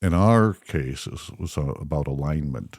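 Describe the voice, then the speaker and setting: Fairly slow delivery from a male speaker. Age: 60s. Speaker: podcast host. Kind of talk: casual faith podcast chat.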